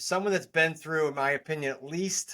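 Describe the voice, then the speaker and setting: Speaking with a New England accent, a man uses a fairly high pitch with ordinary pitch variation. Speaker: real estate investor and coach. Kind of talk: interview. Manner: fast.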